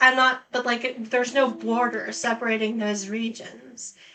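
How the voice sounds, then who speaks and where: In an American accent, a woman with a fairly high pitch speaks in a monotone, flat intonation. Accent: Canadian, often mistaken for American. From Canada, British Columbia. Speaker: gaming streamer. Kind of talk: gameplay commentary. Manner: casual, filler-heavy.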